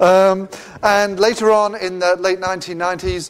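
A man speaks with an English accent. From England. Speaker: event host. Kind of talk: formal introduction. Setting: lecture hall with audience. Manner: formal. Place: hall.

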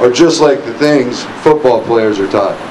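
The man speaks at a moderate pace with fairly even intonation. There is noticeable background noise. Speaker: former football coach giving a tribute. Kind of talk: memorial speech. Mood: solemn, emotional. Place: street. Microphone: podium.

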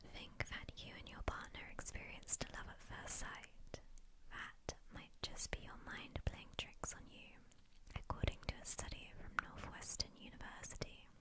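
A woman is whispering at a fairly slow pace. Her loudness swings widely. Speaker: ASMR creator. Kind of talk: ASMR fact reading. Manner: repetitive triggers, soft-spoken. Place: home room. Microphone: studio mic.

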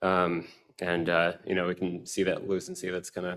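A man speaks in a very deep, low pitch with an American accent. His delivery is flat and monotone against a quiet background. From US Southwest. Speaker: spine surgery fellow. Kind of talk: case presentation. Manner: halting, many fillers. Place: hall.

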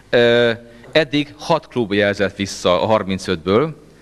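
A man talks in a fairly low-pitched voice. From Hungary. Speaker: session chair at a club meeting. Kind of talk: formal speech to a meeting. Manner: formal. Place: meeting room. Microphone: handheld.

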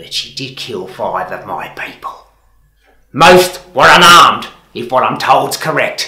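Echo is audible as a man speaks at a fairly slow pace. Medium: short film. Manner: mocking, calmly menacing.

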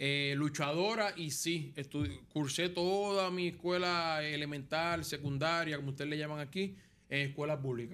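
Ordinary pitch variation marks a man's fairly high-pitched voice. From Puerto Rico, Las Piedras; Puerto Rico. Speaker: former baseball player, coach; coach. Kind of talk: interview. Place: studio. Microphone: studio mic.

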